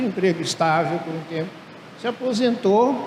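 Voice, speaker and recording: Over noticeable background noise and audible room echo, a man with a high pitch speaks at a moderate pace with lively intonation. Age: 70s. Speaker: retired professor and entrepreneur. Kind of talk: conference talk. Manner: casual, humorous.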